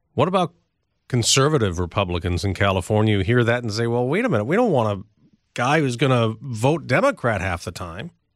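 With an ordinary speaking voice, a man talks at a fairly quick pace with a medium pitch and lively intonation. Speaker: radio host. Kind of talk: news interview. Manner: formal.

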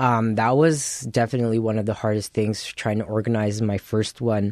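An unremarkable speaking voice from a man with a Canadian accent, medium in pitch, at a moderate pace with fairly even intonation, in a dry, close sound with no echo against a quiet background. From Winnipeg, Canada. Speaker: chef, cooking show runner-up. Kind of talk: radio interview.

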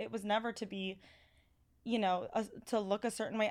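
With a Californian accent, a woman speaks at a very fast pace and with ordinary pitch variation. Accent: Californian American. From Los Angeles, US. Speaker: registered dietitian. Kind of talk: casual chat. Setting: studio. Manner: animated.

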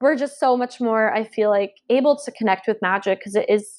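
A woman with an American accent speaks at a fairly quick pace in a fairly high pitch. It is an ordinary speaking voice with ordinary pitch variation. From US South (Georgia). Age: 20s. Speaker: witch and author. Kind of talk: casual chat.

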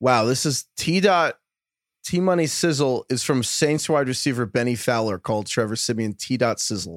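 A man speaks with a New York accent at a medium pitch, his intonation lively. The sound is dry and close, with no echo. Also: moderate pace. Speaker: fantasy football podcast host. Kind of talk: casual chat.

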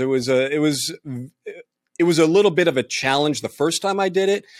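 A man with an American accent and a normal speaking voice talks at a moderate pace in a very clean, silent-background recording that is dry and close with no echo. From New York City. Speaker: colorist. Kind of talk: casual roundtable discussion.

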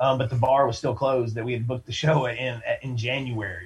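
This is a man with an American accent. His voice is somewhat breathy. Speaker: band singer. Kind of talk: casual interview chat.

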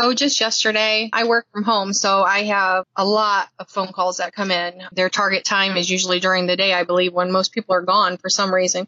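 A plain, everyday voice. Its intonation stays fairly even. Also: woman. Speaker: telemarketer scam-baiter. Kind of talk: recorded interview, casual chat.

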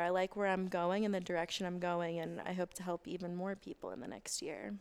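The speaker talks with an American accent. The recording is very clean, with a silent background. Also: woman. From US South. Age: 20s. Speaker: Pilates instructor and blogger. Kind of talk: casual chat. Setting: in an apartment.

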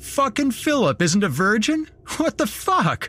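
In a put-on character voice, a man talks at an extremely high pitch with big pitch swings, a bright, sharp tone and a fairly slow pace.

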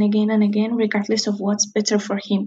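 A woman speaks with a Spanish accent at a fairly high pitch, her voice somewhat breathy. She talks at a fairly quick pace against a quiet background. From Spain. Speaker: caller, law student. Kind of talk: recorded listener question.

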